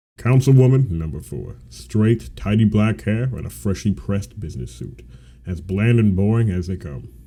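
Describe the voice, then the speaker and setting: A man talks at a moderate pace in a fairly low, somewhat breathy voice. His tone is dark and mellow, and his pitch swings very widely. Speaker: aspiring voice actor. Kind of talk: read story narration.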